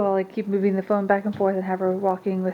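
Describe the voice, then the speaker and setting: A woman talks over noticeable background noise. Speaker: stay-at-home mom vlogger. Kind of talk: casual vlog talk to camera. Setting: at home. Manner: fast.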